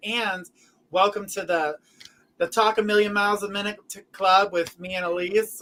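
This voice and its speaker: Raised and projected, a man's high-pitched voice carries fairly even intonation. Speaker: psychic medium show host. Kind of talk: live show chat.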